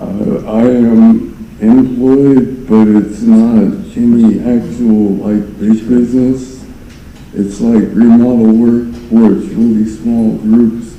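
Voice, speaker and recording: A man speaks at a very slow pace with medium pitch and fairly even intonation, heard with audible room echo and noticeable background noise. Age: 40s. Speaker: defendant testifying in court. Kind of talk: court testimony. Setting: courtroom. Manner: halting.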